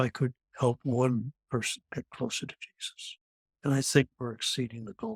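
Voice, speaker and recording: In a Canadian accent, a man's somewhat breathy voice rises and falls sharply in loudness, recorded with a dry, close sound and no echo. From Canada. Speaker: near-death experience survivor, former airline pilot. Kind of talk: testimony. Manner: halting.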